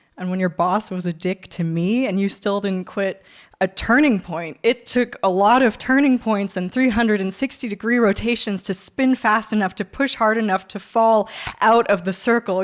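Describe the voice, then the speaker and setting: A woman with a Californian accent talks at a fairly high pitch with fairly even intonation, on a very clean recording with a silent background. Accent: American, Californian. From California, USA. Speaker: spoken word poet and performer. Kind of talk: live spoken word poetry performance. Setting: theatre stage, live audience.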